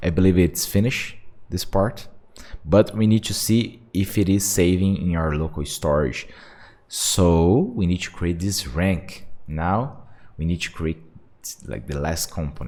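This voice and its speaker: This man has a very deep, low pitch and a dark, mellow tone, speaking fairly slowly with ordinary pitch variation and a non-native accent on a very clean recording with a silent background. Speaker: software developer. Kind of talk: tutorial. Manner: halting; casual.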